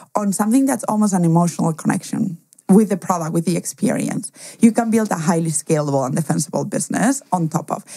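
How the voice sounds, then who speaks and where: This woman's voice sits at a medium pitch, with a dark, mellow tone and a somewhat breathy quality. Her intonation is lively. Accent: Spanish. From Spain, schooled partly in Germany. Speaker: angel investor. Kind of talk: interview.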